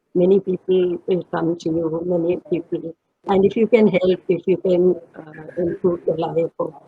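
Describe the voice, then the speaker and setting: A woman speaks at a moderate pace with a somewhat breathy voice. Her intonation is monotone and flat. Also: fairly low pitch for a woman. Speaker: retired professor and former vice chancellor. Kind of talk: reminiscing interview. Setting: online panel, streamed live. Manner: halting, many fillers.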